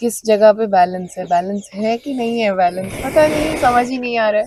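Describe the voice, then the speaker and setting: Her voice sits at a medium pitch. The woman uses ordinary pitch variation. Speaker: folk musician. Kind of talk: casual chat. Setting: festival venue. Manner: animated.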